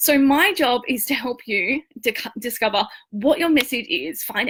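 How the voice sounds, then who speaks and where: With an Australian accent, a woman speaks in a high pitch with lively intonation. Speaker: online marketing and branding coach. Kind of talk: live-stream training talk. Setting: live video stream. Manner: casual, chatty.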